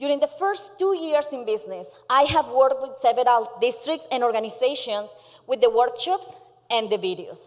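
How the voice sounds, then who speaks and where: A woman with a Colombian accent speaks at a high pitch, her voice swinging very widely up and down. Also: moderate pace. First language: Spanish. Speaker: small business founder. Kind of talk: pitch presentation. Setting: stage with audience.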